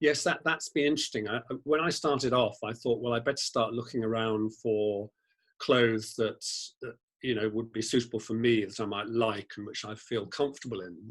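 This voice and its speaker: With a British accent, a man speaks at a fairly quick pace. His pitch sits in the medium range and varies in an ordinary way. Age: 60s. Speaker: fashion blogger, former lawyer. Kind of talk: interview conversation.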